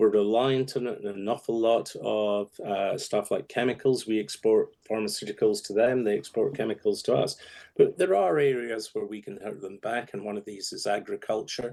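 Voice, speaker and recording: Against a quiet background, a man in a Scottish accent talks at a moderate pace with hardly any pauses and big swings in loudness. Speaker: political strategist. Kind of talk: radio interview.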